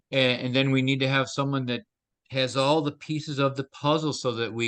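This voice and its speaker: With an unremarkable speaking voice, a man talks at a medium pitch and with fairly even intonation. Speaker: teacher on temperaments and teamwork. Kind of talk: lecture with interpreter.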